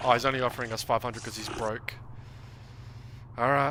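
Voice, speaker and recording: Very fast speech from a man with an Australian accent. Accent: Australian, heard by a viewer as British. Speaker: gaming streamer. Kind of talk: casual livestream commentary. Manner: animated.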